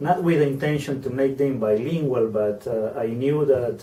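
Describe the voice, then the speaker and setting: Over noticeable background noise, a man speaks at a moderate pace in a Peruvian accent. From Peru, small southern coastal town. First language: Spanish. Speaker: university program officer. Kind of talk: interview. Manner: halting, many fillers.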